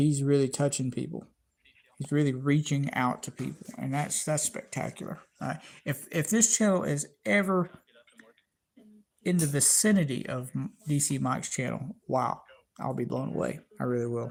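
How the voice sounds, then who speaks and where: With a Southern US accent, the speaker moves at a moderate pace broken by long, frequent pauses. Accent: Southern US (Georgia). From US South, Georgia. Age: 40s. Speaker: YouTube space channel host. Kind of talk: live stream chat with viewers. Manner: halting, many fillers and repetitions.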